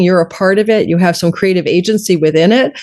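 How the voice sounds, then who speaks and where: Spoken at a very fast pace with an animated tone and ordinary pitch variation, the voice comes through over noticeable background noise. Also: woman. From Canada. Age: 60s. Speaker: astrologer. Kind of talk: interview.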